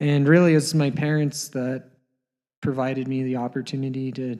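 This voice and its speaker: With a western Canadian accent, a man with a medium pitch and a dark, mellow tone speaks at a moderate pace in a monotone, flat intonation. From Canada, Alberta (Canmore). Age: 30s. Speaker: pro skier. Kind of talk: interview. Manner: halting.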